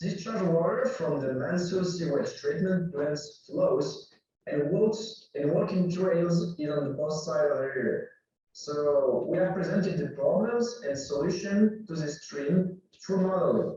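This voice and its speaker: Speaking at a fairly slow pace, a man has a high pitch and a French accent. His tone is dark and mellow. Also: ordinary pitch variation. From France. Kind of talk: conference presentation.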